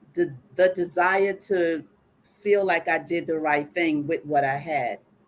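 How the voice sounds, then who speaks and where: A woman speaks in a normal speaking voice, fairly low in pitch, with ordinary pitch variation and a fairly slow pace. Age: 60s. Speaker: guest sharing personal story on live show. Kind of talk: live call-in coaching conversation.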